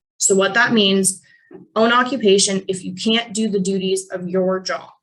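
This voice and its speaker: A plain, everyday voice: a woman in an American accent, medium pitch, fairly even intonation, and a moderate pace. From Pennsylvania, Allegheny National Forest area. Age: 20s. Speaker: financial advisor. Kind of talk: webinar presentation. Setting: video call.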